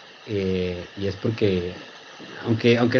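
A man is talking, and noticeable background noise can be heard along with him. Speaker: neuro-linguistic programming practitioner. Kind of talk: casual interview chat.

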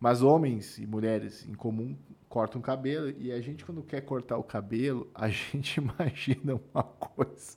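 This man has a medium pitch, a slight gaúcho accent, and audible vocal fry. He talks at a moderate pace with ordinary pitch variation. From southern Brazil. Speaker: podcast host. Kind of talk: casual chat.

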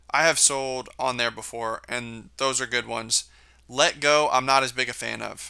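The man speaks in an American accent at a medium pitch. His tone is bright and sharp, and his pace is moderate. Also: very clean recording, silent background. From Kansas. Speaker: podcast host. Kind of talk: casual monologue.

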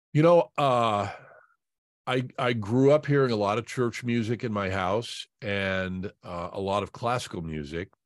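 With an American accent and a plain, everyday voice, a man talks at a fairly low pitch and a fairly slow pace with lively intonation. The sound is dry and close with no echo, on a very clean recording with a silent background. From Indianapolis, Indiana. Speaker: sports broadcaster. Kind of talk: casual interview.

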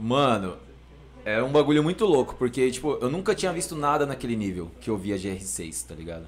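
A man's medium-pitched voice with very wide pitch swings, at a moderate pace. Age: 30s. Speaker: rapper. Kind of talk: casual chat.

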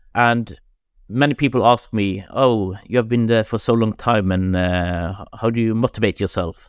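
This man speaks with a Norwegian accent. His pace is moderate. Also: medium pitch for a man, ordinary pitch variation, very clean recording, silent background. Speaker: director of a climate foundation. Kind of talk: interview. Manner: halting.

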